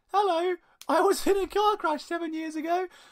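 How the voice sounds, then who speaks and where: A woman's squeaky, put-on character voice at an extremely high pitch, with fairly even intonation. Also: fairly quick pace. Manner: creepy.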